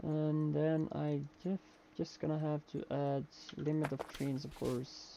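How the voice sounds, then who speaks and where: With a non-native accent, a man speaks very slowly at a fairly high pitch, his dark, mellow tone carrying monotone, flat intonation. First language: not English. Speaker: video game streamer. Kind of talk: live gameplay commentary. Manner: halting, many fillers.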